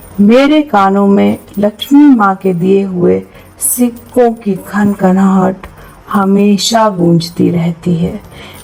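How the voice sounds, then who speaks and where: A woman speaks with a calm tone at a medium pitch, with ordinary pitch variation. Music plays in the background. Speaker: happiness coach. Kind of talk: affirmation meditation read. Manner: slow, calm.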